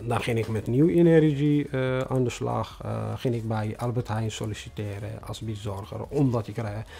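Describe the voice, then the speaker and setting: A man's dark, mellow, somewhat breathy voice at medium pitch, with a non-native accent, ordinary pitch variation, a fairly slow pace and hardly any pauses. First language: not Dutch (speaking Dutch). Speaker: newcomer refugee, bus driver. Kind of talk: interview testimony. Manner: halting, many hesitations.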